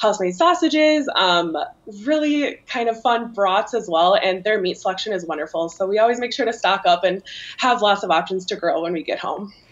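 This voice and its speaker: Her pitch swings very widely while the woman keeps a moderate pace. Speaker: remote guest. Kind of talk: interview answer. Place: home room. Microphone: video call.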